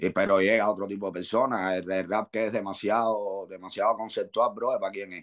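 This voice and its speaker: A man with a Cuban accent speaks at a fairly quick pace with hardly any pauses and a fairly low pitch, against a quiet background. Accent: Cuban Spanish dialect, swallows sounds. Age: 40s. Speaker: rapper; guest. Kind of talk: interview. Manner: animated. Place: home room. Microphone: video call.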